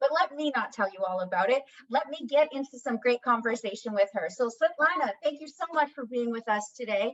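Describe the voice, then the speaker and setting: A woman's animated tone, fairly high in pitch, at a moderate pace. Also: dry, close sound with no echo. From Canada. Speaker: interview host. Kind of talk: interview.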